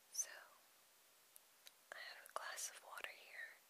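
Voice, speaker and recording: Someone whispers at a fairly slow pace. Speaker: ASMR storyteller. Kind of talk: casual talk to camera. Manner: whispered.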